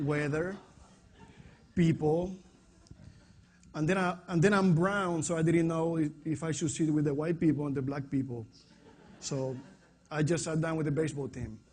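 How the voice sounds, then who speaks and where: A man with a strong Puerto Rican accent and a fairly high pitch speaks at a moderate pace, his intonation fairly even and his pauses long and frequent. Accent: heavy Puerto Rican Spanish. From Puerto Rico. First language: Spanish. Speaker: fitness coach. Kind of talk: presentation to an audience.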